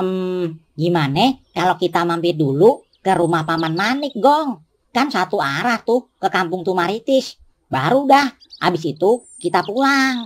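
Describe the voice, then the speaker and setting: In a cartoonish character voice at a middle pitch, the speaker talks at a fairly slow pace. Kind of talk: cartoon dialogue. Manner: casual, joking.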